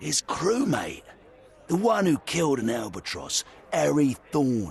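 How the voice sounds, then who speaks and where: A gruff, put-on character voice from a man, fairly high-pitched with very wide pitch swings, at a moderate pace over music in the background. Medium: video game. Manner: gruff, salty slang.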